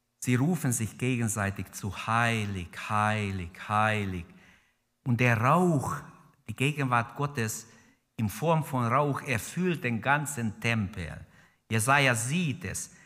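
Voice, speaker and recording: A man speaks very slowly with lively intonation and long, frequent pauses. His tone is bright and sharp against a quiet background. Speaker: preacher. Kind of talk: sermon in church, fervent preaching with prayer and exhortation to the congregation. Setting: church with congregation. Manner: passionate, emphatic, urgent; exhorting the congregation directly, repeating key phrases. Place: church. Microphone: podium.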